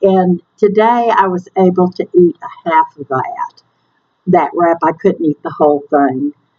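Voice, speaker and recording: With a Southern US accent, a woman speaks in a dark, mellow tone with lively intonation, the sound dry and close with no echo. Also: medium pitch for a woman, fairly slow pace. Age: 60s. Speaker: weight loss surgery vlogger. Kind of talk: casual talk to camera.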